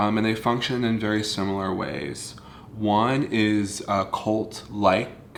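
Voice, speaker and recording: Speaking with an American accent at a very slow pace, a man with a fairly low pitch is heard amid audible room echo. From US South, North Central Florida. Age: 30s. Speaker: video blogger. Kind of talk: personal confessional monologue. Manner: halting, with fillers.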